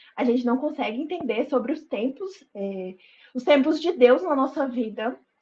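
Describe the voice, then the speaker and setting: A woman speaks at a high pitch with ordinary pitch variation and a dark, mellow tone. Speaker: lay preacher at women's online meeting. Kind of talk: informal sermon.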